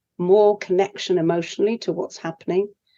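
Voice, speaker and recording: With a British accent, a woman speaks at medium pitch and a moderate pace in a monotone, flat intonation. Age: 70s. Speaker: leadership coach. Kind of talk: interview.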